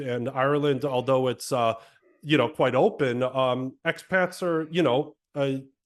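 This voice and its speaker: A medium-pitched man with an American accent, moderate pace and ordinary pitch variation. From United States. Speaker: podcast co-host and novelist. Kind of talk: casual chat. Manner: halting, many fillers.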